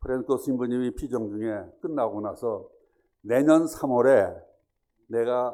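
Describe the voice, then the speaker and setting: In a dark, mellow tone, a man speaks at a fairly slow pace and medium pitch with ordinary pitch variation. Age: 70s. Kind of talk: testimony.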